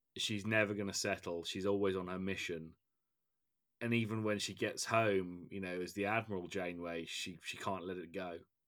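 A man with an English accent speaks at a moderate pace in a very deep, low pitch, his intonation monotone and flat. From England. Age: 30s. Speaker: podcast host. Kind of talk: casual chat.

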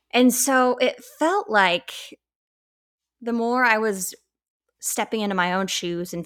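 On a very clean recording with a silent background, a woman with an American accent speaks with lively intonation. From Colorado, US. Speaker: author and podcaster. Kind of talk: interview testimony. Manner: casual, laughs often.

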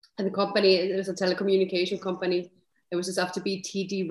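Over a silent background in a very clean recording, a woman of medium pitch speaks with an Icelandic accent. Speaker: serial entrepreneur. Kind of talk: interview conversation.

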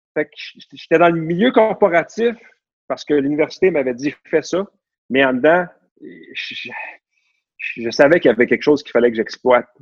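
In a dry, close sound with no echo, a man speaks at a moderate pace in an animated tone, with very wide pitch swings, big swings in loudness, and long, frequent pauses. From Quebec, Laval. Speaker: real estate broker. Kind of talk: interview conversation.

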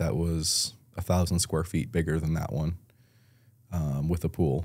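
On a very clean recording with a silent background, a man with an American accent speaks at a moderate pace in a very deep, low voice with a dark, mellow tone and fairly even intonation. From Buffalo, New York. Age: 30s. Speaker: realtor and deputy sheriff. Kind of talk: casual chat.

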